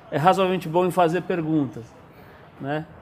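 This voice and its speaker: In a plain, everyday voice, a man speaks fairly quickly at a fairly high pitch. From Brazil, São Paulo. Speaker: magazine founder and editor. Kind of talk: casual interview. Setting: bookstore.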